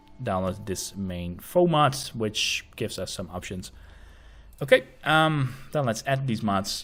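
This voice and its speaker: A man speaks at a fairly slow pace with a Dutch accent. His intonation is lively. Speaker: gaming tutorial youtuber. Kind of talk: tutorial. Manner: casual with frequent fillers.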